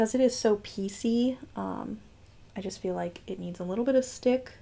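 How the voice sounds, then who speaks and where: The speech is mumbled in a dark, mellow tone. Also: woman. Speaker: beauty youtuber. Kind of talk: makeup tutorial. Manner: mumbling; casual, chatty. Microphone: far from the mic, hard to hear.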